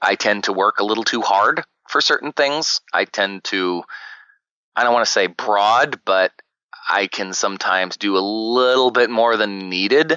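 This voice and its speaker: With an American accent and an ordinary speaking voice, a man of fairly low pitch talks at a moderate pace with ordinary pitch variation. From US South. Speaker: actor and podcaster. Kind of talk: interview. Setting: podcast interview.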